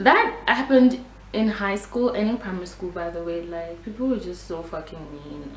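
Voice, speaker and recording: A woman with a Nigerian accent and a medium pitch talks at a moderate pace with lively intonation, amid noticeable background noise and audible room echo. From Nigeria, raised partly in South Africa. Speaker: beauty vlogger. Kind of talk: storytime vlog. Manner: animated.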